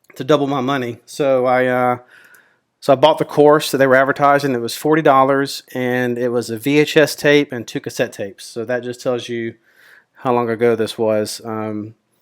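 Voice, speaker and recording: On a very clean recording with a silent background, a man with a Mississippi accent speaks in a relaxed tone at a moderate pace, with a medium pitch and fairly even intonation. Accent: Southern US (Mississippi). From Mississippi, US South. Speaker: options trader and YouTuber. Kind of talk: casual personal introduction to camera. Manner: relaxed, with frequent fillers (um, uh).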